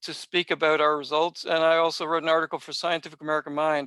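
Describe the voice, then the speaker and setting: Someone talks at a very fast pace with a Canadian accent. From Canada. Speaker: math curriculum presenter, workshop leader. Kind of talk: online workshop presentation. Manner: halting, many fillers and repeated starts.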